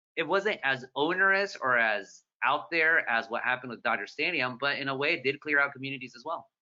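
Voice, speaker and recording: Lively intonation marks this man's fairly high-pitched voice as he talks at a fairly quick pace with an American accent. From Southern California, Orange County. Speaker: newspaper columnist and moderator. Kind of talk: moderated author conversation. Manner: fast; animated.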